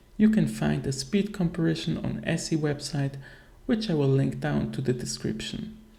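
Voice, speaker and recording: With audible room echo, a man in a non-native accent speaks at a moderate pace. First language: not English. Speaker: video game content creator. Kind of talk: tutorial.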